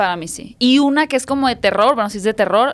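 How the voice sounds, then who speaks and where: In a Mexican accent, a woman speaks at a very fast pace. Her pitch variation is ordinary. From Mexico. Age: 30s. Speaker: podcast host. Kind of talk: interview. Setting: studio. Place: studio. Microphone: studio mic.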